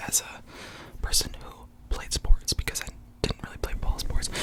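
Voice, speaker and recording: Through noticeable background noise, a man can be heard whispering. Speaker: ASMR creator. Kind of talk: casual talk to camera.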